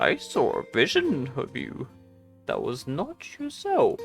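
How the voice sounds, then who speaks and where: Clear music plays behind a man doing a put-on character voice. He talks at a fairly slow pace. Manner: solemn, prophetic.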